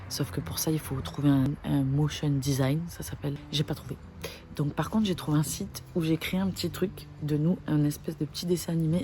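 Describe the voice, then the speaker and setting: Soft-spoken, a woman talks at a moderate pace in a very deep, low voice with ordinary pitch variation. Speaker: vlogger. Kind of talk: casual vlog intro to camera.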